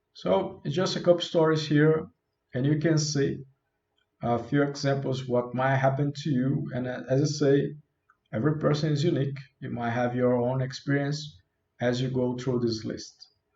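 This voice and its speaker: A man with a non-native accent speaks at a moderate pace in a fairly high, somewhat breathy voice with fairly even intonation. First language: not English. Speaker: self-help youtuber. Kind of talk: self-help talk. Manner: casual.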